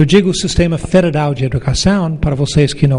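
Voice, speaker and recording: At a moderate pace, a man talks at a fairly high pitch with fairly even intonation. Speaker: professor and education council president. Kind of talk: conference talk.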